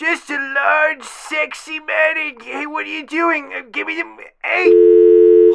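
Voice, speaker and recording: The speaker uses a put-on character voice. The delivery comes at a fairly slow pace. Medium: comedy sketch. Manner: rambling, stammering.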